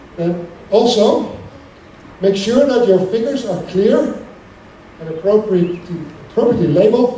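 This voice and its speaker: A man with a Dutch accent speaks at a moderate pace and high pitch with ordinary pitch variation and long, frequent pauses, amid audible room echo and noticeable background noise. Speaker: academic lecturer. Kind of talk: lecture. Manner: hesitant with frequent fillers and restarts.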